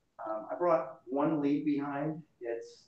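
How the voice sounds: There is audible room echo as a man speaks at medium pitch.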